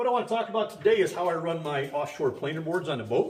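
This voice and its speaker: Very rapid speech from a man, with clear background noise behind it. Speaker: fishing charter captain. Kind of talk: tutorial. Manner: fast.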